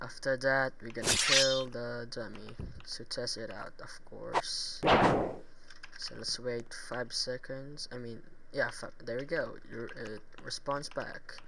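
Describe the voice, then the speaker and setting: Someone with a non-native accent speaks at a very slow pace. Noticeable background noise runs underneath. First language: not English. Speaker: Roblox tutorial YouTuber. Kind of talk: screen-recorded tutorial. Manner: halting, self-correcting.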